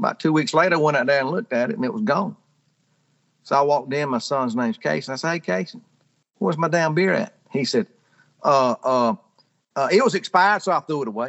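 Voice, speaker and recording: Long, frequent pauses in a man's fairly high voice, its pitch swinging very widely. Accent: strong Southern US. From rural Georgia, US South. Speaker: storyteller, pharmaceutical sales rep. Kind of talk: casual storytelling.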